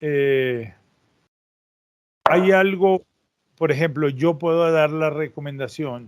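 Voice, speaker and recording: A man speaks very slowly, with a fairly high pitch. His pitch varies in an ordinary way, and long pauses come often. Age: 60s. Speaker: interviewer. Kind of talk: interview.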